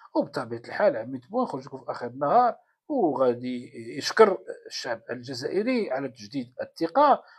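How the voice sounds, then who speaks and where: Against a quiet background, a man with a Moroccan accent speaks at a moderate pace, his loudness swinging widely. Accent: Moroccan Darija. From Morocco. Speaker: political commentator. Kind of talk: political commentary monologue. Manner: halting, many fillers. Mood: sarcastic, mocking. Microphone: phone near.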